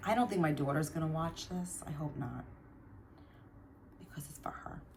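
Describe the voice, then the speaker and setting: A woman with an American accent speaks at a moderate pace in a very deep, low voice, with ordinary pitch variation and big swings in loudness. Long pauses come often, and there is noticeable background noise and audible room echo. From New Jersey. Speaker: craft vlogger. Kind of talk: casual chat. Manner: rambling, hesitant with fillers.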